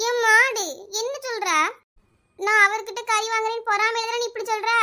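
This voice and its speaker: In a cartoonish character voice, a woman talks at a moderate pace with extremely high pitch and monotone, flat intonation. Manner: argumentative, stubborn.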